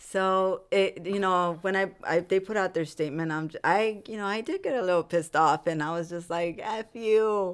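A woman in an American accent at a moderate pace, ordinary pitch variation, on a very clean recording with a silent background. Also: medium pitch for a woman. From Los Angeles, California. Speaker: musician. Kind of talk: interview.

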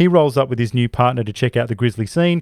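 With an Australian accent, a man talks at a very fast pace and a medium pitch, with ordinary pitch variation. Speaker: podcast host. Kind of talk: casual chat.

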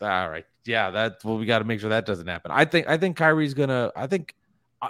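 A man's unremarkable speaking voice at medium pitch with lively intonation, dry and close with no echo on a very clean recording with a silent background. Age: 30s. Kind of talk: casual chat.

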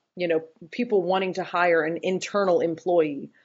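A plain, everyday voice with an American accent carries ordinary pitch variation. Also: woman. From US South, North Carolina (Boone). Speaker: scrum master. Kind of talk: interview.

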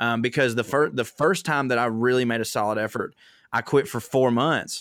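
A man speaks at a medium pitch and moderate pace with fairly even intonation. The recording is very clean, with a silent background and a dry, close sound with no echo. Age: 30s. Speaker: comedian. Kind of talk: casual chat.

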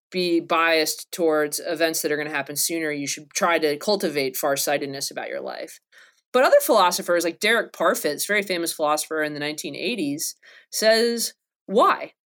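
On a very clean recording with a silent background, a woman in an unremarkable speaking voice talks at a moderate pace, her pitch fairly low with ordinary pitch variation. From North Carolina. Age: 30s. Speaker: philosophy professor. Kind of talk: casual academic interview.

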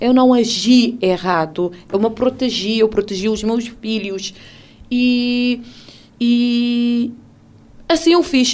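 The speaker is a woman with a high pitch. Music plays in the background. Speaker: radio presenter sharing her story of abuse. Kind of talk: testimony, personal account of domestic abuse. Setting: radio studio. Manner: halting, reflective, pausing and restarting sentences.

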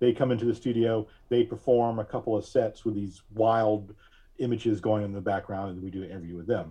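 A man with a plain, everyday voice and an American accent, fairly low-pitched, fairly quick, fairly even in intonation, with big swings in loudness. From Alabama and Pennsylvania. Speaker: podcast host and digital collage artist. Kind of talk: interview conversation.

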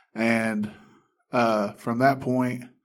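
A man with an Alabama accent speaks at a very slow pace. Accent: Southern US (Alabama). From Alabama, US South. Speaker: addiction recovery ministry staff. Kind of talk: testimony. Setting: studio.

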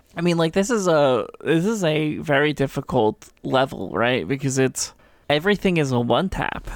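Her pitch very deep and low, a woman speaks with lively intonation and very even loudness in a very clean recording with a silent background. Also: moderate pace. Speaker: podcast co-host and game designer. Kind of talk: casual chat.

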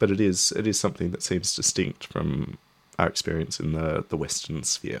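A man with a very deep, low voice and vocal fry speaks at a moderate pace. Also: ordinary pitch variation. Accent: Australian. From Australia. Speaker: cycling journalist. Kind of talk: casual chat.

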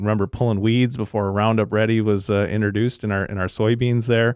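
With an Upper Midwest accent, a man talks at a fairly quick pace. His pitch is fairly low and his intonation is monotone and flat. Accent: Upper Midwest American. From southern Minnesota (Le Sueur). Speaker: agronomist, agricultural products manager. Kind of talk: podcast interview. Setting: studio.

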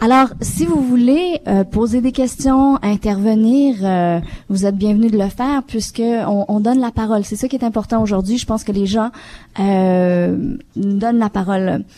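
A woman with a non-native accent, fairly high in pitch, at a fairly slow pace and with ordinary pitch variation. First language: not French (speaking French). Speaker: panel moderator, radio station director. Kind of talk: live panel discussion. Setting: live broadcast from a community centre with audience.

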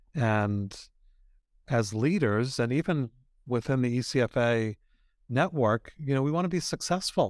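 A man with an American accent has a plain, everyday voice at medium pitch, speaking at a moderate pace with lively intonation. Loudness stays very even, and the sound is dry and close with no echo, in a very clean recording with a silent background. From US, Boston. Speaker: author and ministry leader. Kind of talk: interview.

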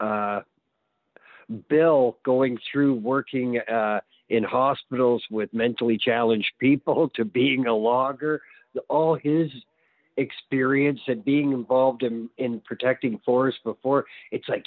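A man with a normal speaking voice speaks at a fairly slow pace and medium pitch, keeping his intonation fairly even. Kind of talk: casual interview conversation.

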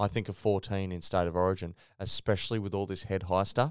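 With an Australian accent, a man speaks in a very deep, low voice, the sound dry and close with no echo on a very clean recording with a silent background. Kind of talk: casual chat. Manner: animated, ranting.

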